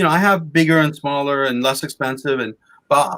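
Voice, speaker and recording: A man talks with a lively, varied intonation at a medium pitch. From Lebanon (Beirut), moved to Boston area as a child. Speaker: comic art collector and dealer. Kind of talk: interview. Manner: hesitant, many fillers and repetitions.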